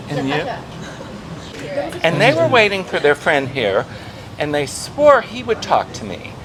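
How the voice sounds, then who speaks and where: At a fairly slow pace with long, frequent pauses, the speaker uses an American accent, with very wide pitch swings and big swings in loudness over noticeable background noise. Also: man, fairly high pitch for a man. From Florida, US. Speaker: retired expat vlogger. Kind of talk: casual interview chat; casual vlog monologue.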